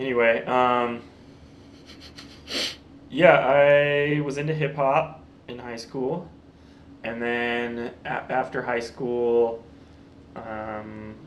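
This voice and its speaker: Against noticeable background noise, a man talks at a very slow pace and medium pitch with fairly even intonation, big swings in loudness, and long, frequent pauses. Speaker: actor, comedian, beatmaker. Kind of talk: interview answer. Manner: deadpan, joking.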